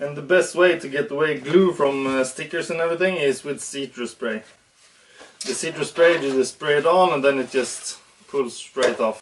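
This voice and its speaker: With a Swedish accent, a man talks at a moderate pace and a fairly high pitch, with ordinary pitch variation over noticeable background noise. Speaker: RC hobby YouTuber. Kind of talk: casual tutorial. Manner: animated.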